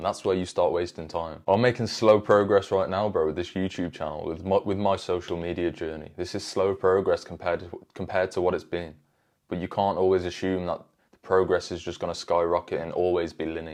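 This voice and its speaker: This man speaks in an animated tone with a British accent, his very deep, low pitch moving at a fairly quick pace. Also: quiet background. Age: 20s. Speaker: self-improvement youtuber. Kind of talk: motivational talk to camera. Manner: casual, animated.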